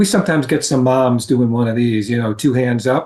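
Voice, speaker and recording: Somewhat breathy, a man talks at a fairly quick pace. The background is quiet. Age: 70s. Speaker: road safety advocate. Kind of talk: interview.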